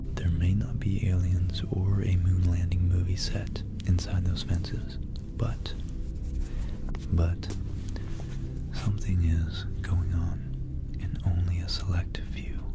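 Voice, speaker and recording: A man at a very slow pace, dry with no echo, loud music in the background. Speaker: ASMR creator. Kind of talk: ASMR conspiracy and history talk to camera. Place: home room. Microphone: studio mic.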